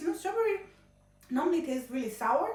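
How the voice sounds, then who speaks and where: An animated voice with very wide pitch swings carries audible room echo. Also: woman. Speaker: cooking vlogger. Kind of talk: casual tutorial. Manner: chatty, animated.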